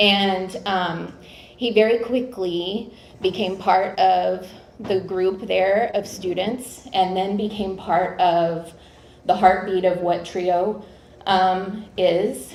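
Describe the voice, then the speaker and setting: Audible room echo fills this recording. A woman speaks at a very slow pace with fairly even intonation. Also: medium pitch for a woman. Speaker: college administrator presenting an award. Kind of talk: award presentation speech. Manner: loud.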